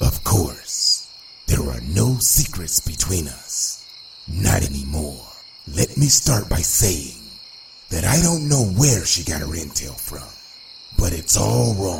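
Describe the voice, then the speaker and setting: A cartoonish character voice makes very wide pitch swings at a fairly slow pace, with long, frequent pauses and clear background noise. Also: man, very deep, low pitch for a man. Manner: smooth, self-assured.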